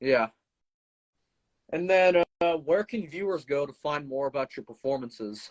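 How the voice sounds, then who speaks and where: In a dry, close sound with no echo, a man speaks at a moderate pace with lively intonation and long, frequent pauses. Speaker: podcast host. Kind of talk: interview.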